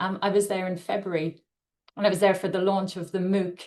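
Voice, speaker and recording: Against a quiet background, a woman with an Irish accent speaks at a medium pitch. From Ireland. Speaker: nutrition scientist and dietitian. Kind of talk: webinar lecture. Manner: hesitant, many fillers.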